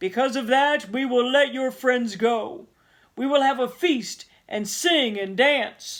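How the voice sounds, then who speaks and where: A put-on character voice with a fairly high pitch. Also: fairly slow pace. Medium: read story.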